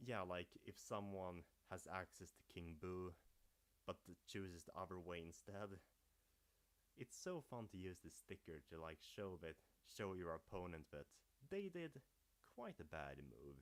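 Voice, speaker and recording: A man with a Swedish accent and a very deep, low pitch, speaking at a fairly slow pace with long, frequent pauses and ordinary pitch variation. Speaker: gaming youtuber. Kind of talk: livestream commentary. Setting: livestream. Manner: casual.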